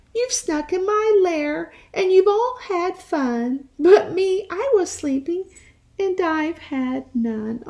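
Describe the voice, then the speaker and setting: In a put-on character voice, a woman talks at a very slow pace with an extremely high pitch. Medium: read story.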